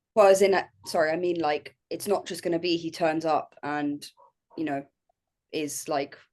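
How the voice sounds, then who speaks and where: Her intonation fairly even, a woman speaks with long, frequent pauses. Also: fairly low pitch for a woman, moderate pace. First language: French. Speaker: powerlifting podcast panelist. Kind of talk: casual chat.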